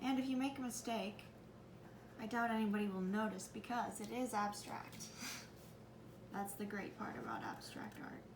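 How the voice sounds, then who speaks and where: A woman with a fairly high pitch talks at a moderate pace with fairly even intonation and long, frequent pauses, amid audible room echo and noticeable background noise. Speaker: art teacher. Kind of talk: tutorial.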